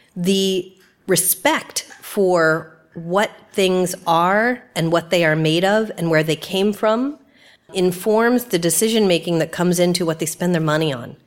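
A woman's fairly low voice, an unremarkable speaking voice, with ordinary pitch variation and a fairly slow pace. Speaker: media content executive. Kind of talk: lightning-round interview at a live event. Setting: stage with live audience.

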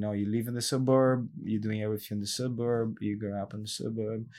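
A man with a Brazilian accent, fairly low in pitch, at a fairly quick pace, in a monotone, flat intonation. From Brazil, São Paulo. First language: Portuguese. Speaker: health studio owner and trainer. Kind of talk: casual chat. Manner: halting non-native English.

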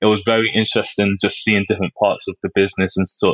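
A man with a London accent, talking at a very fast pace. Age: 20s. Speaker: fashion designer. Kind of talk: interview. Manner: halting, many fillers.

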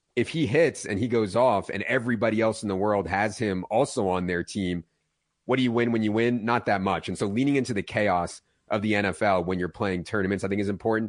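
A man with a fairly low pitch has an unremarkable speaking voice and ordinary pitch variation. He talks at a fairly quick pace against a quiet background. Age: 40s. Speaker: fantasy football analyst. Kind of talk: radio interview.

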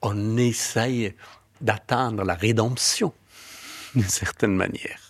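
A man speaks at a very slow pace with fairly even intonation. He takes long, frequent pauses. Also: medium pitch for a man. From Afghanistan. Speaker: novelist and filmmaker. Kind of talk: personal testimony.

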